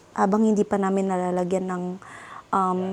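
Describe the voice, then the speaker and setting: A woman talks at a medium pitch with a flat, monotone delivery. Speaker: lifestyle vlogger. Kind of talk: casual vlog narration.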